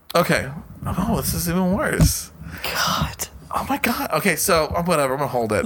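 A man with a high voice and very wide pitch swings talks at a moderate pace over noticeable background noise. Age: 30s. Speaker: podcast co-host. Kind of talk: casual chat.

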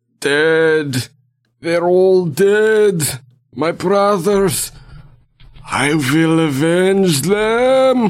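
Using a put-on character voice pitched high for a man, he talks very slowly with long, frequent pauses. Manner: anguished, vengeful cry.

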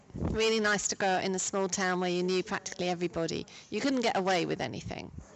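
With noticeable background noise behind her, a woman talks at a very fast pace at medium pitch, with ordinary pitch variation. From Cambridgeshire, Ely. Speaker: hospital patient. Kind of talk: recorded interview.

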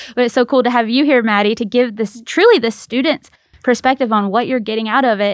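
Her speech rushes along very fast. This woman's voice sits fairly high. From Mississippi, small town. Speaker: radio show host. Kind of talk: casual radio chat. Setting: radio studio. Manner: loud when excited.

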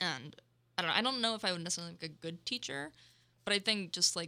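Talking at a very fast pace, a woman with a fairly low pitch, ordinary pitch variation, vocal fry and a bright, sharp tone comes through. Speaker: student podcast host. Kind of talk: casual chat. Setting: studio. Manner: loud.

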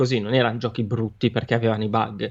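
There is a quiet background as a man speaks in a medium pitch. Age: 30s. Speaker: gaming streamer. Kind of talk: casual chat.

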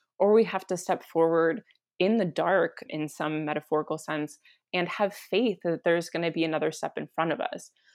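A woman with an American accent speaks in a plain, everyday voice, fairly low in pitch, with ordinary pitch variation at a moderate pace, in a dry, close sound with no echo. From US Southwest, New Mexico. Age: 30s. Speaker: climate communications strategist. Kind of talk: podcast interview.

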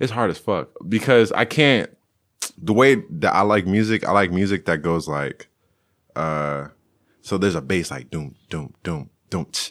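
Speaking at a fairly slow pace with long, frequent pauses, a man uses a very deep, low pitch with vocal fry and lively intonation. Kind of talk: casual chat.

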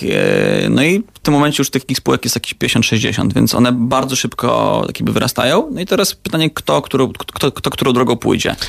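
A man speaks at a fairly quick pace with hardly any pauses, in a dry, close sound with no echo and noticeable background noise. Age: 20s. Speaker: startup co-founder. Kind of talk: radio interview.

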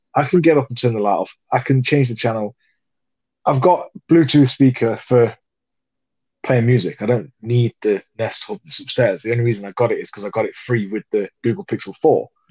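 With a British accent, a man talks at a fairly quick pace in a dark, mellow, somewhat breathy voice, the sound dry and close with no echo. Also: medium pitch for a man, ordinary pitch variation. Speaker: podcast co-host. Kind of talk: casual chat.

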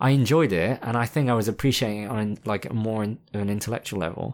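A man speaks at a fairly quick pace. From France. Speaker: filmmaker and musician. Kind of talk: casual chat.

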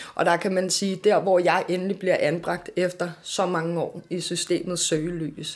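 A woman talks at a fairly slow pace in a fairly low pitch with monotone, flat intonation. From Denmark, Amager (Copenhagen). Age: 20s. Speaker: author and children's advocate. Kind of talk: interview testimony. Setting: café.

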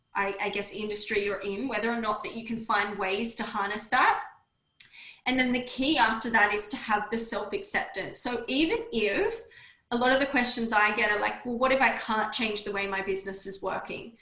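A woman with a fairly high pitch speaks at a moderate pace with ordinary pitch variation, and audible room echo surrounds her voice. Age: 30s. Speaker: naturopath and women's health mentor. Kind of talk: interview.

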